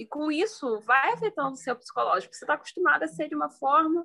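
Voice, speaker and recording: With very wide swings in her pitch, a woman talks at a moderate pace. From Brazil, Petrópolis (Rio de Janeiro state). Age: 20s. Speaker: law student and mother. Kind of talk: casual chat.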